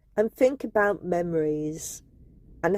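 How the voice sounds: A woman speaks slowly with a fairly low pitch and a dark, mellow tone. Her pitch varies in an ordinary way, and the sound is dry and close with no echo.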